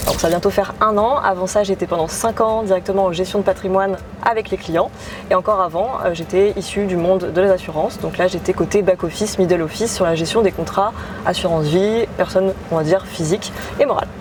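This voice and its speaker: A woman's fairly even intonation is heard against noticeable background noise. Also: medium pitch for a woman, fairly quick pace. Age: 20s. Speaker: real estate investment partnership manager. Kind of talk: interview.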